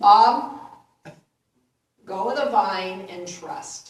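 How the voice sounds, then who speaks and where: Loud and booming, a put-on character voice carries lively intonation over a slight echo. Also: woman, fairly high pitch for a woman. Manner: authoritative, commanding.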